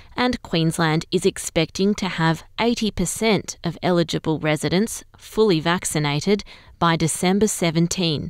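Ordinary pitch variation with an Australian accent on a very clean recording, silent in the background. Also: woman. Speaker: newsreader. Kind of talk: news reading, scripted bulletin read at an even, measured pace. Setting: studio. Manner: slow, clear and formal; steady, neutral and unemotional.

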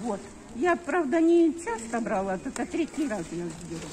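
Over light background noise, a woman speaks at a moderate pace with very wide pitch swings. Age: 70s. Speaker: pensioner receiving food aid. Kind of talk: interview answer. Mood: grateful, somewhat wistful. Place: street. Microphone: phone near.

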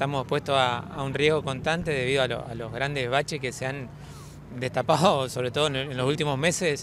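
A man's fairly high voice at a fairly quick pace, fairly even in intonation, dry with no echo, over noticeable background noise. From Argentina, Entre Ríos; Argentina. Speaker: local resident at a road protest. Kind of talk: street interview. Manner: halting, many fillers. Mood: concerned, earnest. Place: street.

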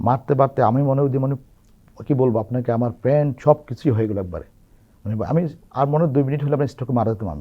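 With ordinary pitch variation, a man speaks at a medium pitch in an unremarkable speaking voice. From Bangladesh, Chandpur district. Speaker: opposition political activist. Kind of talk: testimony.

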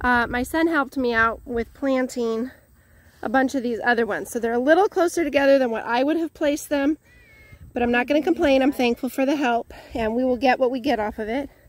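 With a high pitch and ordinary pitch variation, a woman talks at a fairly quick pace in a dry sound with no echo. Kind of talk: casual vlog chat. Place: garden. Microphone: phone near.

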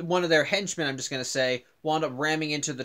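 Against a quiet background, a man talks at a very fast pace in a bright, sharp tone with ordinary pitch variation. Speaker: cartoon series reviewer. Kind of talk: casual vlog commentary. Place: home room. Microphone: webcam.

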